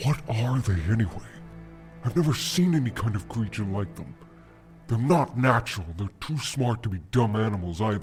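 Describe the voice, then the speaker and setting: Over clear background music, a man in a put-on character voice talks at a moderate pace and a medium pitch. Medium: audio drama. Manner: earnest, troubled.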